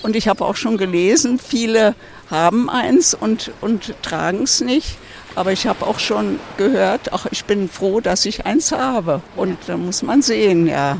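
The speaker moves at a fairly slow pace with lively intonation. Noticeable background noise can be heard. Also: woman, medium pitch for a woman. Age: 80s+. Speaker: passer-by. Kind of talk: street interview. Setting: outdoors at a public hearing event.

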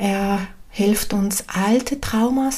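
Calm and warm, a woman's dark, mellow, somewhat breathy voice sits at a fairly high pitch. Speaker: medium and spiritual coach podcaster. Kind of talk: spiritual talk, solo podcast. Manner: calm, warm, with hesitations.

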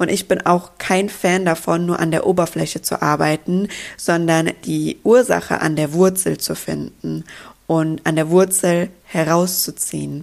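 In an ordinary speaking voice, a woman talks at a fairly slow pace with fairly low pitch and fairly even intonation. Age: 20s. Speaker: podcast host and coach. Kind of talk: solo podcast monologue.

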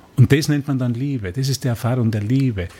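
This man's voice sits at a medium pitch. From Austria, Tyrol. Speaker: spiritual course teacher. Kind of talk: radio interview. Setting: radio studio. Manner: halting, repetitive.

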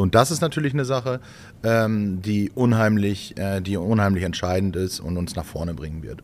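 A man has an ordinary speaking voice, fairly low in pitch with ordinary pitch variation, delivered at a fairly quick pace. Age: 30s. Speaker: farmer. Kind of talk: casual chat. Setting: farm.

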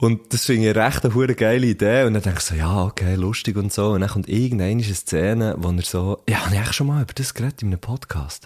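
A man's fairly low voice at a very fast pace, with ordinary pitch variation and hardly any pauses. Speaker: podcast host. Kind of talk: casual chat. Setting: studio.

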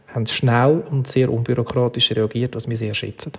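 This man talks at a moderate pace with a Swiss accent. His pitch sits in the medium range. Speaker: event agency executive. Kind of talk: interview.

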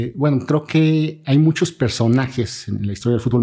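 A man's dark, mellow voice with ordinary pitch variation, over a quiet background. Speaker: sports journalist and author. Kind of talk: podcast interview.

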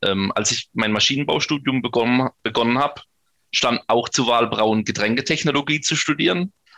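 This man's tone is bright and sharp, at a medium pitch. He keeps a moderate pace with ordinary pitch variation. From northern Baden, near Bruchsal. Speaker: homebrewer and beer sommelier. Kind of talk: casual interview with beer tasting.

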